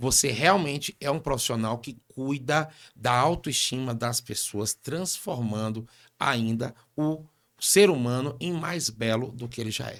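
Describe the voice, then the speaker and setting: This is a man with a normal speaking voice. His pitch is medium, with ordinary variation. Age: 50s. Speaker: barbershop business mentor. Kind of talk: interview conversation.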